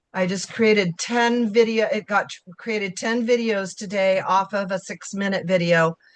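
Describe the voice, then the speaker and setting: This woman talks at a moderate pace with a medium pitch and hardly any pauses. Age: 60s. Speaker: program member sharing experience. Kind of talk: casual group video call. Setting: video call. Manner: rambling, enthusiastic.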